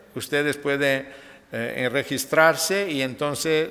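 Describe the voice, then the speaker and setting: A man at medium pitch, speaking at a very slow pace. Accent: Italian. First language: Italian (speaking Spanish). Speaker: nephrologist. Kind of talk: lecture. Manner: halting.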